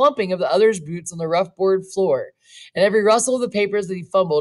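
A text is read out plainly. It is plain reading aloud and nothing more.

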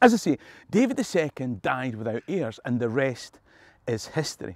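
Very wide pitch swings from a man at a moderate pace, with dry sound and no echo. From Scotland. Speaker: tour guide. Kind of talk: history storytelling to camera. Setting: outdoors. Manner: humorous, conversational. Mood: jokey, humorous. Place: open country.

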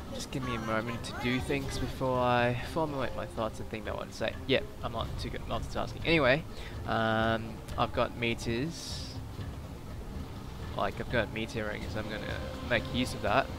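Moderate pace and ordinary pitch variation, with a dry sound with no echo and noticeable background noise. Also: man. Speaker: gamer. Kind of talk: gameplay commentary.

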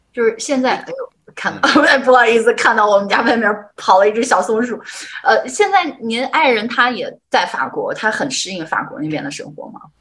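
A woman at a high pitch and a fairly quick pace, with big swings in loudness. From northern China. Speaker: livestream host. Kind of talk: livestream interview. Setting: livestream. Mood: friendly, animated. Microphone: video call.

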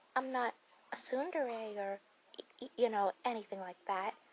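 Over light background noise, a woman talks at a fairly slow pace with ordinary pitch variation. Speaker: voice actor playing best friend. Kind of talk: ASMR roleplay addressed to a listener as a worried friend. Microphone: studio mic.

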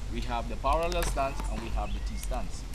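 A man's voice comes through amid loud background noise. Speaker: archery instructor. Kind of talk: tutorial. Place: open country.

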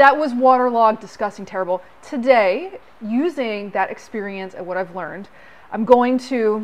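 Fairly high in pitch, a woman with an American accent speaks with ordinary pitch variation. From US South. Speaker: car restoration youtuber. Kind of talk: hands-on tutorial. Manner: casual, frequent laughter. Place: workshop. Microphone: phone near.

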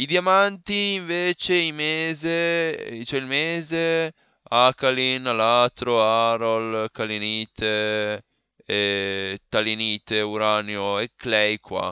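Lively intonation marks this man's speech. His tone is bright and sharp, at a medium pitch. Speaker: gaming youtuber. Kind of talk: gameplay commentary. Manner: halting.

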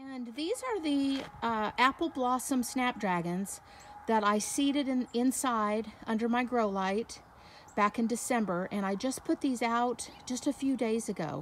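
A woman's high-pitched voice at a fairly slow pace, with ordinary pitch variation, a dry sound with no echo and light background noise. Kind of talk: casual garden tour narration. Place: garden. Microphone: phone near.

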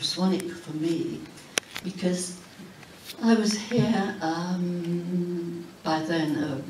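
Noticeable background noise and audible room echo surround a woman's voice. She has a fairly low pitch and fairly even intonation. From Huddersfield, Yorkshire, England. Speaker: author. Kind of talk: keynote speech. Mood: warm, nostalgic. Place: hall. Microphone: camera far.

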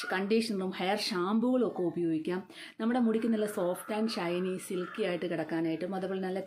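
Noticeable background noise sits behind a woman speaking at medium pitch with ordinary pitch variation. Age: 50s. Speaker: beautician and vlogger. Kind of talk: beauty tutorial vlog. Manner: casual conversational.

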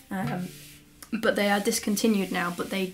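Delivered at a moderate pace with ordinary pitch variation, the voice comes with an East Midlands accent over light background noise. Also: woman. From England, Lincolnshire. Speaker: handpan teacher and musician. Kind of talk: casual tutorial / Q&A vlog. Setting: home studio, solo to camera. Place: home room. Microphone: camera far.

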